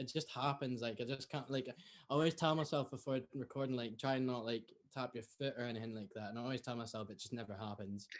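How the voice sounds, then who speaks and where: In a very clean recording with a silent background, a man with a Scottish accent talks at a very fast pace with fairly even intonation. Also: medium pitch for a man. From northeast Scotland. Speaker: music student, folk fiddler. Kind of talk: casual chat.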